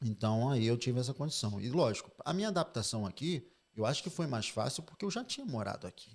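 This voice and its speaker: A man speaks at a very fast pace with lively intonation, a medium pitch and a somewhat breathy voice. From Spain (Oviedo, Fuengirola) until 12, then Brazil. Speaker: financial advisor. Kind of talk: interview conversation.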